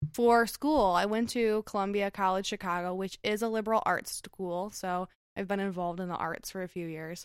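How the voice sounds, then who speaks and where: A woman with an American accent speaks at a moderate pace, with hardly any pauses. She has a plain, everyday voice, medium in pitch with ordinary pitch variation. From Michigan, US (Detroit suburbs). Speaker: graphic designer. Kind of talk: casual chat.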